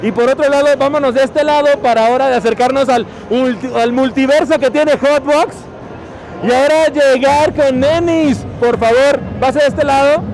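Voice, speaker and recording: A man's extremely high-pitched voice with fairly even intonation, crowd noise behind him. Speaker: podcast host. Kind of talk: casual chat. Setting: trade show floor.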